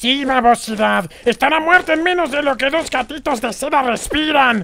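In a put-on character voice, this man's pitch climbs extremely high. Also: moderate pace.

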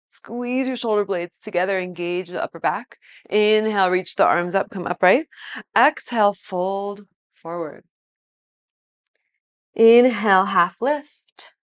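A woman at a fairly slow pace, with long, frequent pauses, ordinary pitch variation and a quiet background. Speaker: yoga instructor. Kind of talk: guided exercise cues. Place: home room.

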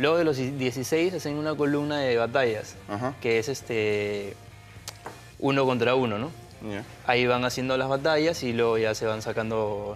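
Over faint background music, a man speaks with long, frequent pauses and ordinary pitch variation. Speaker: guest. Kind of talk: interview answer. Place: studio. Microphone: lapel.

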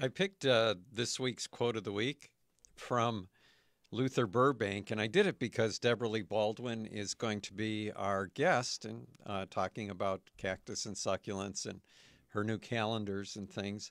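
With a normal speaking voice, a man talks at a fairly slow pace and fairly low pitch, his intonation fairly even, the sound dry with no echo over a quiet background. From Michigan. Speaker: radio co-host, horticulture author. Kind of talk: radio talk show. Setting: radio studio. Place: studio. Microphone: studio mic.

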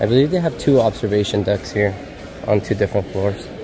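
A man speaks at a fairly low pitch and a fairly quick pace. Noticeable background noise runs behind him. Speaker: travel vlogger. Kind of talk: casual vlog chat. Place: shop. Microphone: phone near.

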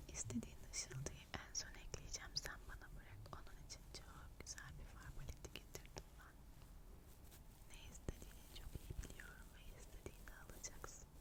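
A woman is whispering at a moderate pace. Her tone is gentle. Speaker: makeup artist (roleplay). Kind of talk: ASMR roleplay, soft-spoken makeup application. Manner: soft-spoken, gentle, whispery.

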